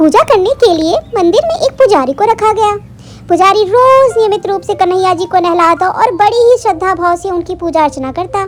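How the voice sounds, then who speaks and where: Against clear background noise, a woman with an extremely high pitch talks at a fairly quick pace with lively intonation. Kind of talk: devotional storytelling. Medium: read story.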